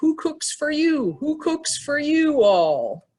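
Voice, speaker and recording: A woman puts on a character voice, high in pitch and delivered at a very slow pace. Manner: hooting, rhythmic call.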